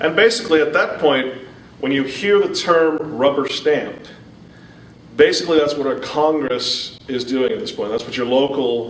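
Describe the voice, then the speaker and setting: A man speaks at a moderate pace in a fairly high pitch with ordinary pitch variation. Audible room echo and noticeable background noise accompany him. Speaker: public speaker. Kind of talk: lecture. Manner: loud.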